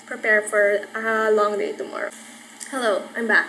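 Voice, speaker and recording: Over noticeable background noise and audible room echo, a woman speaks in a relaxed tone at a fairly high pitch with fairly even intonation. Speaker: YouTuber. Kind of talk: casual vlog.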